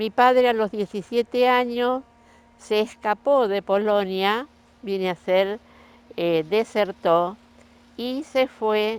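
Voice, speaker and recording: A woman speaks at a very slow pace with ordinary pitch variation. The sound is dry and close, with no echo. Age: 80s+. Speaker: grandmother telling family history. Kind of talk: oral history interview.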